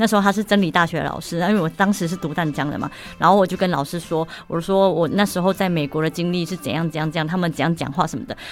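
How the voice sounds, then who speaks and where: A woman's fairly low voice at a very fast pace, with ordinary pitch variation. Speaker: former expat factory manager in Vietnam. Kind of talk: casual interview. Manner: halting.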